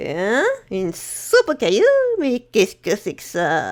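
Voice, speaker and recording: Using a put-on character voice at a medium pitch, a woman speaks at a fairly slow pace. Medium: read story. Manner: brusque.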